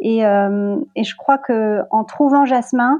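A woman with a fairly high pitch speaks in a dark, mellow tone. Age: 30s. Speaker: communications officer and mother. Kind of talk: casual interview.

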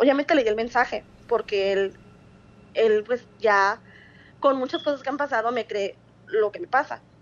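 Moderate pace with ordinary pitch variation. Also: woman. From Agua Prieta, Sonora, Mexico. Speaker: caller. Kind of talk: phone-in storytelling. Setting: phone call.

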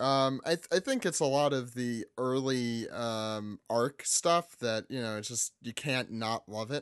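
A normal speaking voice at a fairly slow pace against a quiet background. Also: man. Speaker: podcast co-host. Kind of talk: casual chat.

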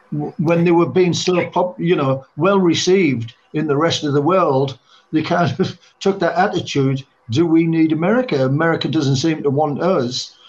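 A man with an English accent speaks in a fairly high pitch with ordinary pitch variation. His loudness stays very even. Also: moderate pace. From England. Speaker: music industry veteran, former road crew. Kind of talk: casual panel chat.

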